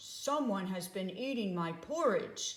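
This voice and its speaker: A woman puts on a character voice, growling at a fairly high pitch and a fairly slow pace. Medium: read story.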